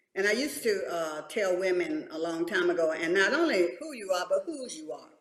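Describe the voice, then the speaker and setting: Her pitch medium but swinging very widely, a woman speaks at a moderate pace. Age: 70s. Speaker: church women's leader. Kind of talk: panel talk show discussion.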